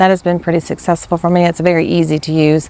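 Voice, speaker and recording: A soft-spoken woman with a fairly low pitch talks at a fairly quick pace. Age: 50s. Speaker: teacher and new vlogger. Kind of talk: casual vlog monologue. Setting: outdoors. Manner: rambling, hesitant.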